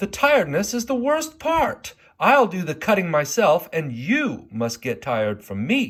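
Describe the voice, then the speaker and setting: A man puts on a character voice with a high pitch. His pitch swings very widely as he moves at a moderate pace. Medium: read story.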